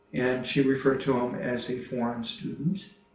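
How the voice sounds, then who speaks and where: Speaking at a fairly slow pace in an American accent, a man keeps a medium pitch and fairly even intonation, with audible room echo around him. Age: 60s. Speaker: retired mail carrier. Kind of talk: interview testimony. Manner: halting, many fillers.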